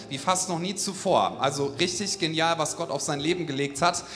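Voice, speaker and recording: Over noticeable background noise, a man talks at a fairly quick pace. His pitch is high and varies in an ordinary way. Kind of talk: stage introduction of a guest, warm and enthusiastic. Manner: enthusiastic, upbeat.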